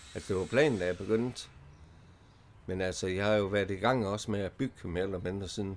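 At a fairly quick pace, a man with an ordinary speaking voice talks in a fairly low pitch with fairly even intonation. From Denmark, Vejle. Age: 50s. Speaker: early retiree, former drug user. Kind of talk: casual interview. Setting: allotment garden outdoors.

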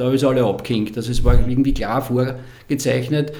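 A man with an Austrian accent speaks at a moderate pace in a fairly high pitch, with noticeable background noise and audible room echo. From Lower Austria. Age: 60s. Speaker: former cyclist and sports marketing manager. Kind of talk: casual interview.

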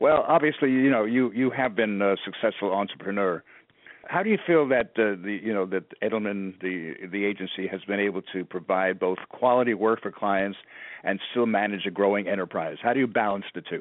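In an American accent, a man with fairly low pitch, ordinary pitch variation and an ordinary speaking voice talks at a fairly quick pace. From New York City. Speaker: podcast host, PR agency partner. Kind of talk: interview.

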